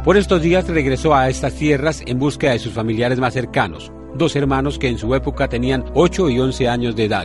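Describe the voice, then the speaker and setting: Music plays in the background as a man speaks with hardly any pauses. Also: fairly quick pace. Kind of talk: TV news narration.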